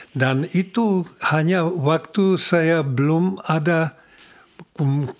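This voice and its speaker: Against a quiet background, a man talks at a very slow pace in a Czech accent. His pitch is fairly high, with ordinary variation. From Czech Republic. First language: Czech (speaking Indonesian). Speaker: former ambassador; podcast guest. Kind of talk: interview. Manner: halting, with many hesitations. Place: home room. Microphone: studio mic.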